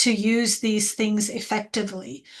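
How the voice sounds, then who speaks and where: Over noticeable background noise, a woman with a non-native accent speaks at a fairly slow pace in a fairly high pitch, with monotone, flat intonation. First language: not English. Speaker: educator and researcher. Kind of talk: panel webinar discussion.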